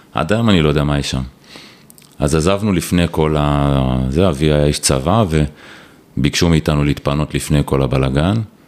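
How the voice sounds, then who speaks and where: Over noticeable background noise, a man with a very deep, low pitch speaks at a moderate pace with very even loudness and long, frequent pauses. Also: ordinary pitch variation. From Israel, Ra'anana. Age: 40s. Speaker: telecom executive. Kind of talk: casual interview.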